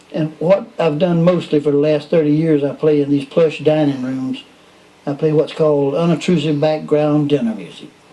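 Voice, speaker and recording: With a Southern US accent, a man talks at a fairly high pitch over noticeable background noise. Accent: Southern US (Georgia). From US South. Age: 70s. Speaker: musician. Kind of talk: casual chat.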